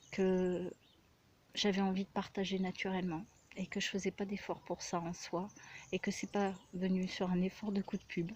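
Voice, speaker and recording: Soft-spoken and somewhat breathy, a woman of medium pitch talks at a fairly slow pace with long, frequent pauses. Her intonation is monotone and flat, on a very clean recording with a silent background. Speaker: spiritual healer. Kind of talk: casual personal vlog monologue. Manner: hesitant, many fillers.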